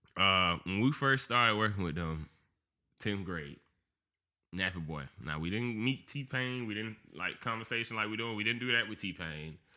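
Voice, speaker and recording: In a Georgia accent, a man with a fairly low pitch and a bright, sharp tone speaks at a moderate pace with lively intonation, on a very clean recording with a silent background. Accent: Southern US, Georgia. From Georgia, US. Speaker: podcast guest, former dancer. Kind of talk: casual chat. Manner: animated.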